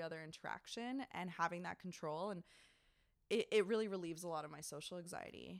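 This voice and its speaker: A woman talks in a plain, everyday voice at a fairly low pitch and moderate pace, with ordinary pitch variation. The recording is very clean, dry and close, with a silent background and no echo. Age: young. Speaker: podcast co-host. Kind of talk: casual chat. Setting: public library room.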